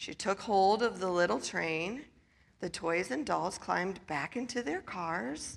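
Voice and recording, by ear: Someone is reading aloud in a natural voice.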